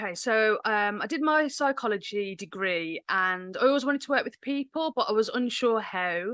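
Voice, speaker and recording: Speaking with an English Midlands accent, a woman talks at a moderate pace with hardly any pauses, her fairly high voice bright and sharp and her intonation lively, the sound dry and close with no echo against a quiet background. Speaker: menstrual cycle coach. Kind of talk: podcast interview.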